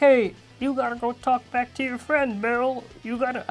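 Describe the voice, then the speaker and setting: Using a put-on character voice, a woman speaks at a moderate pace with a high pitch in monotone, flat intonation. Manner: imitating, performed.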